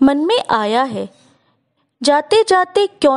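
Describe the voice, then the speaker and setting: The recording is dry and close, with no echo. Her pitch is high as this woman talks. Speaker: storyteller. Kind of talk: poetry reading.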